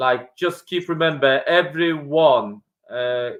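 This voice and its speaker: A man with a Polish accent speaks at a very slow pace in a fairly high voice. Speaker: property investor. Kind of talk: podcast interview.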